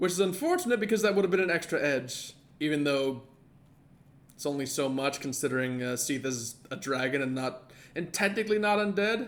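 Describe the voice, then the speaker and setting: Fairly quick, mumbling speech from a man with a fairly high pitch and lively intonation. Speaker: gaming streamer. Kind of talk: live gameplay commentary. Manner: fast, mumbling.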